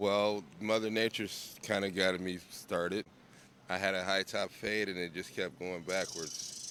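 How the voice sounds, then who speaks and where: Over noticeable background noise, a man with a very deep, low voice speaks in a flat monotone at a moderate pace. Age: 60s. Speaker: interviewee. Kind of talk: street interview. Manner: casual.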